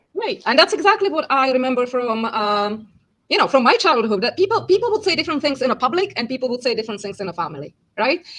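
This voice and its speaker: Very fast and high-pitched, a woman with a Czech accent speaks with very wide pitch swings. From Czechia, Prague. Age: 50s. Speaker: language teacher and interpreter. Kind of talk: casual interview chat.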